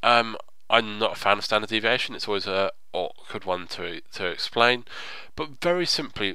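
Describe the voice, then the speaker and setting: A man with a plain, everyday voice, medium pitch, lively intonation and a moderate pace. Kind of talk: tutorial narration, screen-recorded game guide. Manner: explanatory, conversational.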